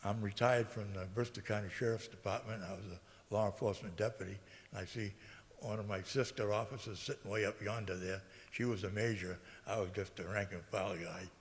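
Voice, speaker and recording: A man with an American accent speaks at a fairly quick pace and fairly low pitch. His voice is somewhat breathy, and his intonation is fairly even. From Massachusetts, New Bedford. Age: 80s+. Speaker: local election candidate, military veteran. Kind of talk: candidate speech. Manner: halting, many fillers.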